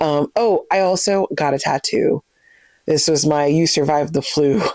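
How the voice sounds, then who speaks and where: In a very clean recording with a silent background, a woman speaks with a very deep, low pitch, a dark, mellow tone, ordinary pitch variation, very even loudness and a moderate pace. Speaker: book vlogger. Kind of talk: casual chat. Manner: less lively than usual.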